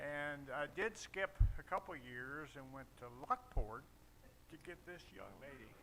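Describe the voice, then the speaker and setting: A man with a Midwestern American accent speaks at a fairly slow pace and fairly high pitch, his tone bright and sharp. His intonation is lively, with big swings in loudness. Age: 80s+. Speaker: church member. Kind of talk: casual remarks.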